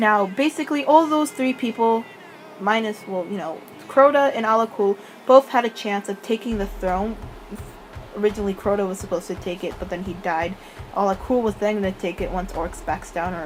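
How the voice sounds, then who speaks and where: Over noticeable background noise, a woman mumbles at medium pitch and a fairly quick pace with lively intonation. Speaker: gaming lore youtuber. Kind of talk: casual commentary, unscripted. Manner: mumbling; halting.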